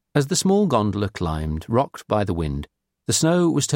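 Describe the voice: Here we have plain reading aloud. Nothing much stirs in the quiet background.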